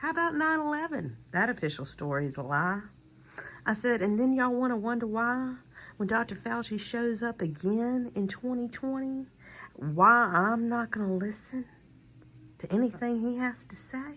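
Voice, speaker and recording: Bright and sharp in tone, a woman with a Southern US accent speaks at a moderate pace and a fairly high pitch with lively intonation. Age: 50s. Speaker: vlogger. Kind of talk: casual monologue. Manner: animated.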